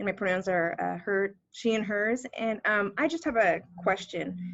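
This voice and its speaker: A woman talks at a moderate pace with a medium pitch and ordinary pitch variation. Hers is an unremarkable speaking voice. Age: 40s. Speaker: student civic leadership fellow. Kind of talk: audience question.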